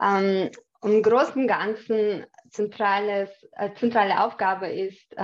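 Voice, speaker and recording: A woman with a Chechen accent speaks at a very slow pace. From Chechnya. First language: Chechen (speaking German). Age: 30s. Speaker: cyber security engineer. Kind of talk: interview. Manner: hesitant, many fillers.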